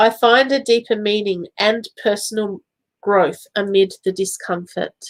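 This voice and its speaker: Dry and close with no echo, a woman's voice carries a slight Australian accent, moving at a fairly slow pace with fairly even intonation. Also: fairly high pitch for a woman. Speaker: psychic medium. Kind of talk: live-stream psychic reading. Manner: casual, chatty with fillers.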